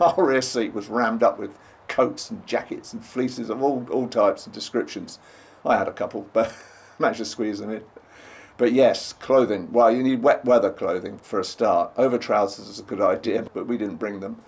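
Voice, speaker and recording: A man speaks with an English accent. His loudness swings widely. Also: moderate pace. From England. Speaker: travel vlogger. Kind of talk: travel guide narration. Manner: casual, chatty.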